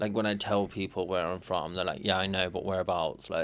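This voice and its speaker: A man with a Cockney accent speaks at a fairly quick pace in a very deep, low pitch. His intonation is monotone and flat. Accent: British, Cockney-like. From UK.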